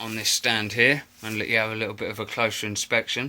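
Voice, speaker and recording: A man's voice at a medium pitch. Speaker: mask collector, video maker. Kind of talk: show-and-tell collection video. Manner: halting, many fillers.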